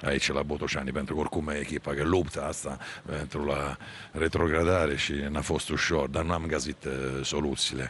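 With an Italian accent, a man speaks at a moderate pace in a very deep, low voice and a flat monotone, pausing long and often, the sound dry with no echo over light background noise. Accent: Italian-accented Romanian. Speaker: football coach. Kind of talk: post-match interview. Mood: subdued after goalless draw. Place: stadium. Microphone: handheld.

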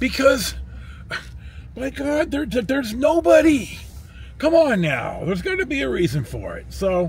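Moderate pace in a dry sound with no echo. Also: man. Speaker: travel vlogger. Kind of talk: casual vlog chat. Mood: mildly annoyed, chatty. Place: car. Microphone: phone near.

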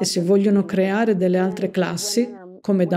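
Here a woman has a normal speaking voice at a medium pitch. She talks at a moderate pace. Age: 50s. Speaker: nurse. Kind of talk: interview.

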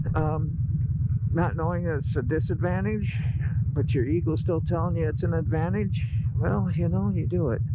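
Against loud background noise, the speech comes at a moderate pace with a dry sound and no echo. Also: man. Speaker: motorcycle rider vlogger. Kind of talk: casual vlog chat. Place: motorbike.

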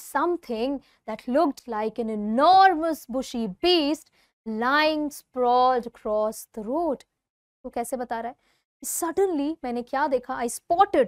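Fairly slow, lively speech from a high-pitched woman, dry with no echo, over a quiet background. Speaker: English teacher. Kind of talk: lecture. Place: studio. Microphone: lapel.

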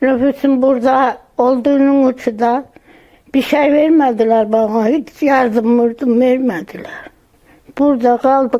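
A woman with a high voice speaks at a very slow pace. Her intonation is fairly even and her loudness very even. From Andırın, Osmaniye, southern Turkey. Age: 80s+. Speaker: earthquake survivor. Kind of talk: interview answer.

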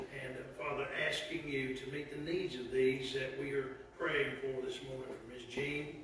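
Through strong room echo and noticeable background noise, a man speaks at a moderate pace in a monotone, flat intonation. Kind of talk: public prayer. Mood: solemn, earnest. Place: church. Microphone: camera far.

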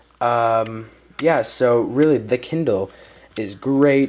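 A man talks slowly at a medium pitch. His tone is slightly mellow, with ordinary pitch variation.

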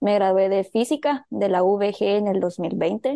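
A woman's voice, dark and mellow. The background is quiet. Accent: Guatemalan. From Guatemala. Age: 20s. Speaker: medical physicist. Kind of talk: interview.

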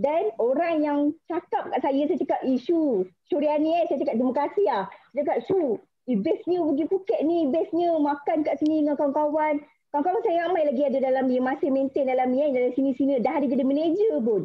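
Over a quiet background, a woman with a Malaysian accent speaks at a high pitch and fairly quick pace, with very even loudness and ordinary pitch variation. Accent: Malaysian Malay. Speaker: insurance agent. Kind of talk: motivational talk. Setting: video call. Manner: nervous. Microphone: video call.

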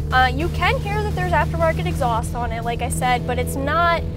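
A woman speaks at a moderate pace, with loud music in the background. The sound is dry, with no echo. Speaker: car reviewer driving. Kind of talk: commentary. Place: car. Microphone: camera far.

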